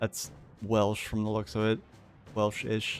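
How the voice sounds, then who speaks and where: A man speaks with music in the background. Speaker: game streamer reading in-game lore aloud. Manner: casual, rambling, hesitant when reading.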